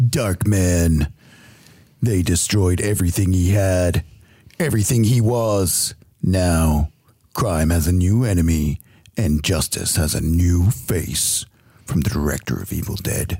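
Using a put-on character voice with a very deep, low pitch, a man talks at a fairly slow pace with long, frequent pauses. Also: ordinary pitch variation. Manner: dramatic, ominous.

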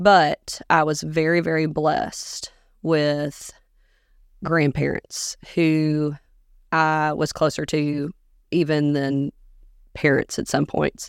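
In a very clean recording with a silent background, a woman with a very deep, low pitch speaks at a very slow pace in a monotone, flat intonation, leaving long, frequent pauses. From US South, Augusta, Georgia. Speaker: teacher. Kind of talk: interview conversation.

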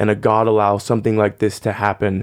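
A man with an American accent speaks at a moderate pace in a fairly low voice, a plain, everyday voice. The sound is dry and close with no echo, and the background is quiet. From Arizona, US. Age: 20s. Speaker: worship leader. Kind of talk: casual chat.

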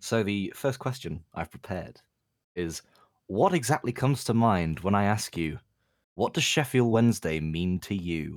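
A man with an unremarkable speaking voice talks fairly slowly at a fairly low pitch, with lively intonation. The recording is very clean with a silent background. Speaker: football fan community member. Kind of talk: casual chat.

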